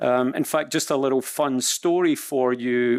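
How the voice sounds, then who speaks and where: A man with a Scottish accent speaks at a fairly high pitch and a moderate pace, his intonation fairly even. The recording is very clean with a silent background and a dry, close sound with no echo. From Scotland. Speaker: supply chain executive. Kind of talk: panel discussion. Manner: halting.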